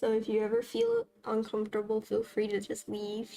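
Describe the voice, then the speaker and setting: Noticeable background noise runs under a woman's voice. She speaks at a moderate pace with flat, monotone intonation. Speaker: vtuber streamer. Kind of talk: game livestream chat.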